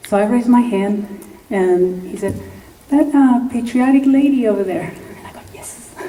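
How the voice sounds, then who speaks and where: This woman's fairly high voice moves at a moderate pace with ordinary pitch variation and big swings in loudness. Audible room echo surrounds her. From Mexico. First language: Spanish. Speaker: congressional candidate. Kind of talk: campaign speech. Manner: animated.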